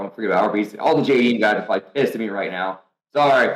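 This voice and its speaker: With an American accent, a man talks at a very fast pace at a medium pitch. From North Carolina. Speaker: professional drifter. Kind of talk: podcast interview answer. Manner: casual, storytelling.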